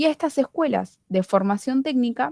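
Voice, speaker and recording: A woman with a plain, everyday voice talks at a fairly slow pace with ordinary pitch variation. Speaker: student study group leader. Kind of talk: tutorial.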